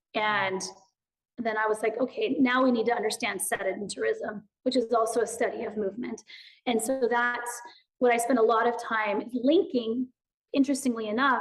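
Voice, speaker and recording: A woman talks loudly in a high pitch. Her pace is moderate. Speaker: movement educator and author. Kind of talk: podcast interview. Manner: animated.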